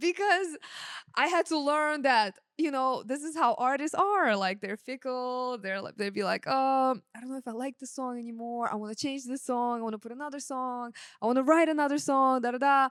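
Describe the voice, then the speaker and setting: A woman with a Russian accent speaks in a high voice with ordinary pitch variation. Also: moderate pace. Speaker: sound engineer. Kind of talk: casual chat.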